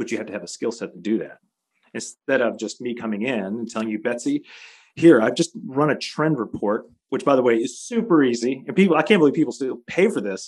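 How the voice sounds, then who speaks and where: A plain, everyday voice. It moves at a fairly quick pace with lively intonation. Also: man, medium pitch for a man. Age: 40s. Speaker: futurist consultant. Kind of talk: interview.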